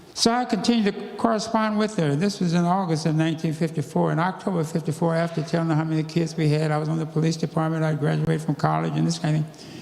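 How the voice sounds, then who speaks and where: Very fast, fairly high-pitched speech from a man over noticeable background noise. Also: ordinary pitch variation. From US South. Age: 80s+. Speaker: civil rights activist and former police officer. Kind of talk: church talk, personal testimony. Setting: church.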